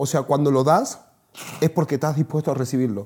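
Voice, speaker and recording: A man speaks with a dark, mellow tone on a very clean recording with a silent background. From northern Argentina (Salta). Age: 30s. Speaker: e-commerce entrepreneur. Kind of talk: casual chat.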